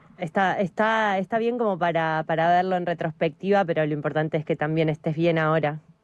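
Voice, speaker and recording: A woman speaks at a moderate pace in an unremarkable speaking voice, her pitch fairly low with ordinary variation. The sound is dry and close, with no echo. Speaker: radio host. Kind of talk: radio interview; news reading.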